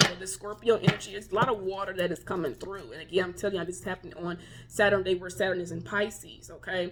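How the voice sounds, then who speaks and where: Over noticeable background noise, a woman with a medium pitch talks at a very fast pace. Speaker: tarot reader. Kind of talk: tarot reading. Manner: animated.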